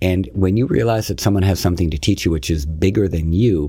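Ordinary pitch movement in a male voice with some breathiness. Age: 50s. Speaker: yoga teacher. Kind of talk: casual chat.

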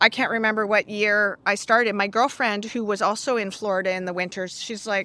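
With a Canadian accent, a woman talks at a fairly quick pace in a bright, sharp tone. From Canada. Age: 60s. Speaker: bookkeeper and accounting coach. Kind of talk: interview conversation.

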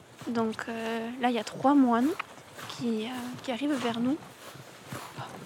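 Over noticeable background noise, a woman speaks fairly slowly at a fairly high pitch with ordinary pitch variation. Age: 20s. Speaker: agricultural school student. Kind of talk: reflective monologue. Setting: outdoors.

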